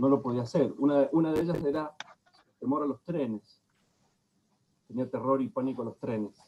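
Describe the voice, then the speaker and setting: This man speaks in a medium pitch at a moderate pace, using ordinary pitch variation and taking long, frequent pauses. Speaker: lecturer on psychoanalysis. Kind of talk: lecture.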